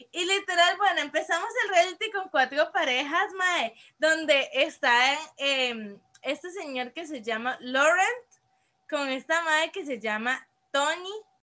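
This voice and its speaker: A woman's raised, projected voice at an extremely high pitch and a fairly slow pace. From Costa Rica, San José (Desamparados). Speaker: podcast co-host. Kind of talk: casual chat. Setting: remote recording.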